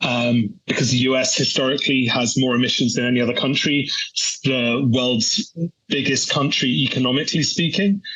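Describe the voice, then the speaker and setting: This man speaks at a moderate pace, keeping his loudness very even and his pitch varying in an ordinary way. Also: medium pitch for a man. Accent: British. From UK. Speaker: energy policy analyst. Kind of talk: interview answer. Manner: hesitant, many fillers and repeats.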